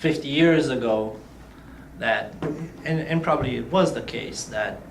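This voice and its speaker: Amid noticeable background noise and audible room echo, a man with a fairly high pitch and ordinary pitch variation speaks at a fairly slow pace with long, frequent pauses. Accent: slight Romanian. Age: 20s. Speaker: youth leader, non-profit ambassador. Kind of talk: interview.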